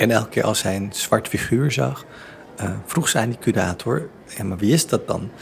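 This man talks at a moderate pace and a medium pitch. His pitch swings very widely. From Netherlands, Surinamese family. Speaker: theatre director and exhibition curator. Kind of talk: interview. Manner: halting, many repeated words.

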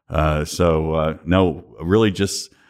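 This man speaks in a Kentucky accent. His intonation is monotone and flat. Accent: Kentucky Southern US. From Western Kentucky. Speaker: distillers association president. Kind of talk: interview conversation. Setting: association headquarters, in person.

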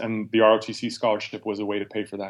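A man with an American accent and a fairly low pitch speaks at a fairly quick pace in a monotone, flat intonation on a very clean recording with a silent background. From Nevada. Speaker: army veteran and lawyer. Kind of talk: interview conversation. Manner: halting, many fillers.

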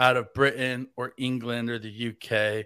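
A man with a Southern US accent speaks in a bright, sharp tone on a very clean recording with a silent background. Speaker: fill-in podcast host. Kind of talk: casual chat. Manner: joking.

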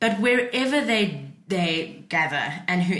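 This woman's intonation is lively, with noticeable background noise behind her. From South Africa, Cape Town. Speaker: researcher on church and social housing. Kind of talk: casual chat. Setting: studio.

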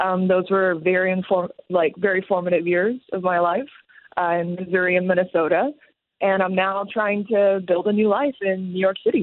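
A woman with an American accent at medium pitch, moderate pace, very even loudness and fairly even intonation. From Taiwan. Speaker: stand-up comedian. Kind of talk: radio interview. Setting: phone call.

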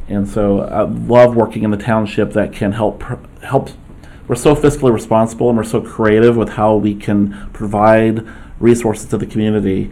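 A man with a fairly low pitch speaks in a monotone, flat way. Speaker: township trustee. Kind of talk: formal public meeting.

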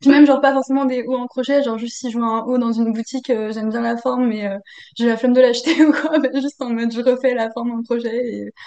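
The delivery is very fast. Intonation remains fairly even. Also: woman, high pitch for a woman. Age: 20s. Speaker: engineering student and crochet maker. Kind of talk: casual interview. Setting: video call.

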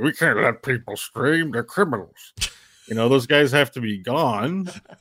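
Putting on a character voice, a man speaks at a moderate pace and a medium pitch with lively intonation. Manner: dismissive, callous.

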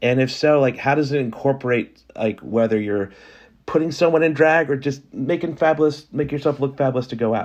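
An unremarkable speaking voice, male and fairly high-pitched, in an American accent at a moderate pace with ordinary pitch variation over a quiet background. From US South (New Orleans, South Carolina). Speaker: podcast host. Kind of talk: interview. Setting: video call.

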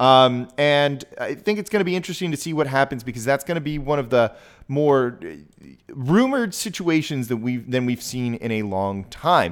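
Over a silent background in a very clean recording, a man with a plain, everyday voice speaks at a moderate pace, his fairly high pitch moving with lively intonation. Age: 30s. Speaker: sports podcast host. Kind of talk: solo sports commentary podcast. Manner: casual, conversational.

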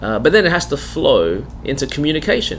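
Noticeable background noise accompanies a man with an Australian accent speaking at a moderate pace. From Australia, Melbourne. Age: 40s. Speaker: pastor. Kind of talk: interview conversation. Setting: studio.

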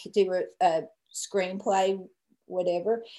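A woman's medium-pitched voice at a fairly slow pace. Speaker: film rights owner and director's daughter. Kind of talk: interview.

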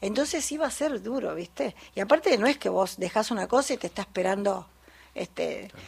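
Her voice is fairly high, with vocal fry and very wide pitch swings. The woman talks at a fairly quick pace. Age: 50s. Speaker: folk singer and music teacher. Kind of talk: radio interview.

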